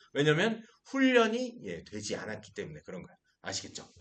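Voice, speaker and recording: A man speaks at a fairly slow pace in an animated tone, his pitch swinging very widely, with vocal fry and audible room echo. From Seoul, South Korea. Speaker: pastor teaching a Bible class. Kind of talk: lecture. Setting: classroom with live and online audience.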